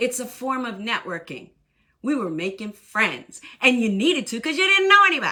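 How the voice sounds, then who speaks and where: A woman with an American accent speaks in a high, bright, sharp voice at a moderate pace. Her tone is animated, and her pitch swings very widely. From southern Maine, US. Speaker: Army veteran and workshop coach. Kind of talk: live online workshop talk. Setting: livestream. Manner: talkative.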